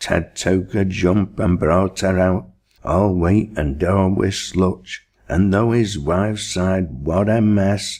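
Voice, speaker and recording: A man speaks at a very slow pace in a very deep, low pitch with a Lancashire accent. His intonation stays fairly even and his loudness very even. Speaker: poetry reader. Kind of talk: dialect poetry reading.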